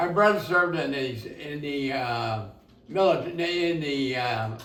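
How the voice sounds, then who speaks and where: A man with a fairly high voice talks at a fairly slow pace, with audible room echo and noticeable background noise. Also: lively intonation. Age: 80s+. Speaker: war veteran. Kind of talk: casual chat. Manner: halting.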